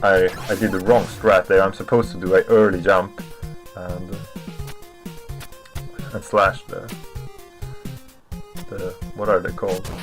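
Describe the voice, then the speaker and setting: A man talks with big swings in loudness and long, frequent pauses. Music plays in the background. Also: moderate pace. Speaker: speedrunner, game commentator. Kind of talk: speedrun commentary over gameplay.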